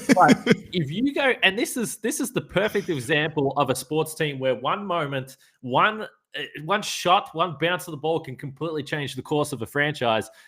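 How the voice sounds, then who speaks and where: With an Australian accent, a man speaks at a fairly high pitch in a bright, sharp tone and with lively intonation. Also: moderate pace. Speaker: sports podcast host. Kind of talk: casual chat.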